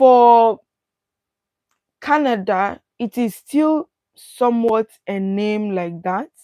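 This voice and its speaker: A woman speaks at a very slow pace, her pitch fairly high with ordinary variation. Her tone is dark and mellow, and the sound is dry and close with no echo. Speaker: study abroad consultant. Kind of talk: livestream masterclass. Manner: deliberately not loud.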